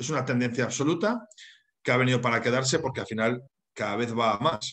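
The talk moves at a fairly quick pace. It carries a northern Spanish accent. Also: man, quiet background. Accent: northern Peninsular Spanish. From northern Spain, Santander; Spain. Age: 40s. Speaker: HR consultant and university lecturer; webinar presenter. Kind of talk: webinar lecture. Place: home room. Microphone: webcam.

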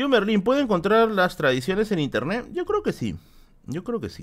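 A man is heard against a quiet background. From Peru. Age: 30s. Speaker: YouTuber streamer. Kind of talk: casual live stream Q&A. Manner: animated. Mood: relaxed, joking anecdotes. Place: home room.

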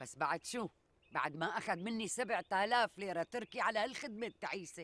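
A woman at a moderate pace, the sound dry with no echo. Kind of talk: dramatic dialogue, comic complaint. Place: forest.

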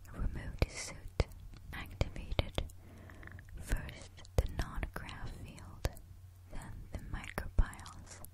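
The voice is a whisper, very slow in pace. Noticeable background noise sits behind it. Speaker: ASMR storyteller. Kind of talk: sleep story. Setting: close-mic home recording. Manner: whispered; soft, slow.

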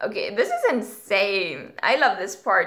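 A woman speaks at a very slow pace in a bright, sharp tone. The background is quiet. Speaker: youtuber. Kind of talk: casual reaction vlog chat. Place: home room. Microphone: webcam.

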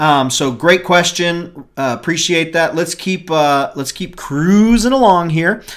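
A high-pitched male voice at a fairly slow pace, with ordinary pitch variation and a quiet background. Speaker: show co-host. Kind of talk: casual chat. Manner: animated. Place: home room. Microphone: webcam.

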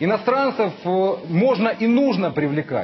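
Noticeable background noise sits behind the recording. Over it, a man talks with lively intonation. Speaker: opposition politician. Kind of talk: heated debate.

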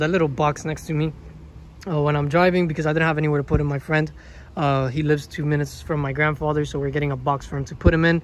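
The speech comes at a very fast pace. The sound is dry with no echo, over light background noise. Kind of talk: casual vlog chat. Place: street. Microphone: phone near.

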